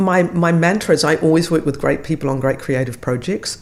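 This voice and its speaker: A woman with a New Zealand accent speaks in a very deep, low voice with ordinary pitch variation. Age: 60s. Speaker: actor. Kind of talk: casual chat.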